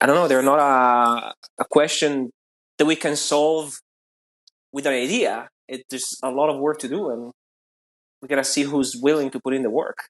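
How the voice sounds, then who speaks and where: With long, frequent pauses, a man talks at a moderate pace and fairly high pitch, keeping a fairly even intonation. The sound is dry and close, with no echo. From northern Italy, near Milan (Brescia). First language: Italian. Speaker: architect and set designer. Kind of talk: casual chat.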